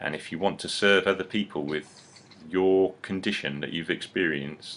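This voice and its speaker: A man speaks with an English accent. His pitch is very deep and low, and his pace is moderate. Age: 30s. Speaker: publisher and seminar presenter. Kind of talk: seminar preview talk. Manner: halting, repetitive; animated.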